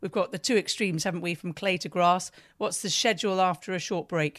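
A woman with a British accent speaks at a fairly quick pace and medium pitch in a very clean recording with a silent background. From Britain. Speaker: podcast interviewer. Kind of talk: interview questions.

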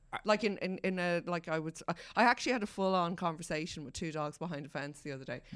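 A woman with an Irish accent speaks at a very fast pace in a fairly low pitch. Her pitch varies in an ordinary way while her loudness swings widely. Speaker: newspaper features editor and columnist, podcast co-host. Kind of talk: casual chat.

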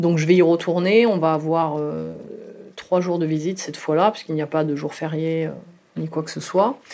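A dark, mellow tone comes at a moderate pace with fairly even intonation and big swings in loudness. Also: woman, very deep, low pitch for a woman. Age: 30s. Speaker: mother telling her love story. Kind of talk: personal testimony. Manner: hesitant, with frequent fillers.

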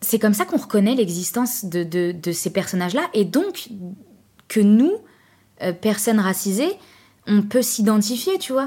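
On a very clean recording with a silent background, a woman with a fairly high, somewhat breathy voice speaks with lively intonation and long, frequent pauses. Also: fairly slow pace. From France, Trappes (Yvelines), Algerian heritage. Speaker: actress and improv coach. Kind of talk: casual interview chat. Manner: hesitant, many fillers and repetitions.

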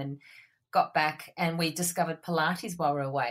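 A woman's voice, very deep and low in pitch. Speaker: former journalist, not-for-profit worker. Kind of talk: casual interview chat.

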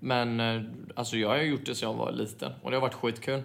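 A man talks at a very fast pace in a medium-pitched voice with vocal fry. His intonation stays monotone and flat. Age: 20s. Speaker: footballer. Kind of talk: casual chat.

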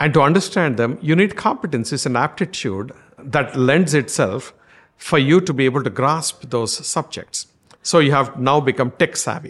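At a moderate pace, a man speaks with an Indian accent in a fairly high pitch, with ordinary pitch variation. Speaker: marketing executive. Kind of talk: interview. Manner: halting.

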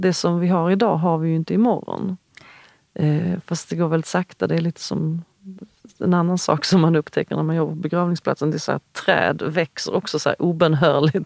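Dry and close with no echo, a woman's fairly low voice moves at a moderate pace with fairly even intonation. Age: 40s. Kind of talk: interview conversation. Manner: halting, many fillers and restarts.

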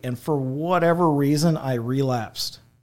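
A man with an American accent speaks in an ordinary speaking voice at a moderate pace, his intonation fairly even, on a very clean recording with a silent background. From Illinois, Effingham area. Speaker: church member sharing testimony. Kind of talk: testimony. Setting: studio.

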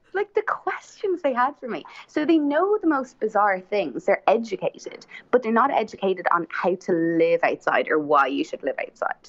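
At a moderate pace, a woman speaks at a high pitch with very wide pitch swings. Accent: Irish. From Ireland. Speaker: podcast guest. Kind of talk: casual chat. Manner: talkative.

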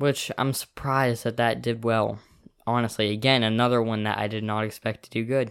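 This man's intonation is monotone and flat. His pitch sits in the medium range. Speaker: podcast co-host. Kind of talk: casual chat.

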